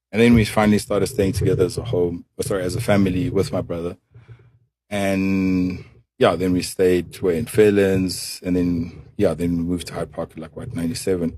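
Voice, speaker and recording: Fairly quick and fairly even in intonation, a man speaks with a very deep, low pitch. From South Africa, Soweto and rural Limpopo. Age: 30s. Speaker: businessman, son of a politician. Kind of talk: podcast interview. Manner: casual, hesitant with fillers.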